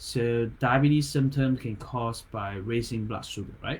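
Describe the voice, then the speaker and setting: A man speaks with a non-native accent. His voice is somewhat breathy. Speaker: acupuncturist. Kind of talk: health talk livestream. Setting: live online video. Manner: halting, stumbles on words.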